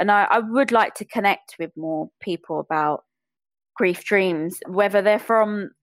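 A woman with a British accent at a moderate pace, on a very clean recording with a silent background and a dry, close sound with no echo. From England (British Bangladeshi). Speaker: podcaster. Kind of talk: interview conversation.

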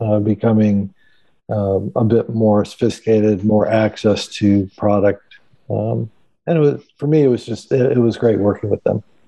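Speaking with an American accent, this man has a plain, everyday voice at a fairly low pitch. His pace is moderate, with ordinary pitch variation. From Chicago. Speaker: outdoor industry sales executive. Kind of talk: casual interview.

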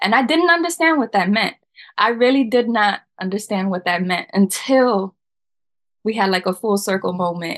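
A woman speaks in an unremarkable speaking voice at a medium pitch. Her pace is moderate and her intonation lively. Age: 30s. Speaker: podcast guest. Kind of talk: casual chat.

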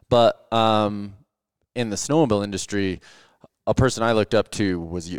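At a moderate pace, a fairly low-pitched man speaks with ordinary pitch variation and long, frequent pauses, in a dry, close sound with no echo. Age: 40s. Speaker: podcast host and backcountry snowmobile guide. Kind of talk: casual chat. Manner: halting, many fillers.

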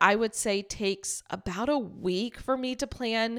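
A woman speaks very slowly in a fairly high pitch, with ordinary pitch variation and an upbeat tone. The recording is very clean with a silent background. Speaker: podcast host for teachers. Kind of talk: casual solo vlog-style narration. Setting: home recording. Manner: upbeat, laughs often.

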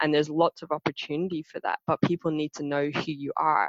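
With fairly even intonation, a woman talks at a fairly quick pace in a very deep, low pitch, her sound dry and close with no echo. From Ireland. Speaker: instructional design business owner. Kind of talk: casual interview.

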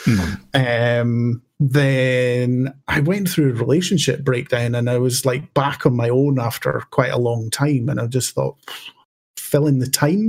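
A man with a Scottish accent talks at a fairly slow pace in a somewhat breathy voice. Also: medium pitch for a man, ordinary pitch variation. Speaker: podcaster and game master. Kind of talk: casual chat. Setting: remote recording during lockdown.

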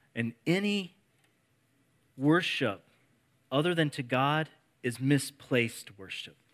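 A man with a Midwestern US accent speaks at a very slow pace in a fairly high pitch. Long, frequent pauses recur. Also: lively intonation. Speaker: preacher. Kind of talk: sermon. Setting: church with congregation.

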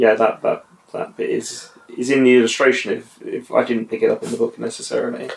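Against noticeable background noise, a man speaks fairly quickly. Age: middle-aged. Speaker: guest reader, father. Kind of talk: casual chat. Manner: hesitant, many fillers.

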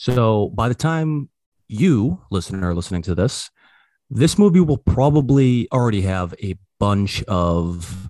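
On a very clean recording with a silent background, a man with a plain, everyday voice talks at a medium pitch with lively intonation, the sound dry and close with no echo. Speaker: podcast host. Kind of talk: casual chat, movie review podcast.

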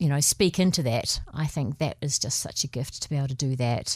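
A woman at a moderate pace with lively intonation, on a very clean recording over a silent background. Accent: New Zealand. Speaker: podcast co-host. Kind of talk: casual chat.

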